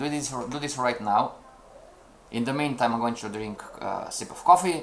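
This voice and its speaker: A man with a non-native accent and ordinary pitch variation, over noticeable background noise. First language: not English. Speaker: trading teacher. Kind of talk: live-streamed lesson. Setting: live stream. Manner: halting, repeats words; energetic, addressing chat.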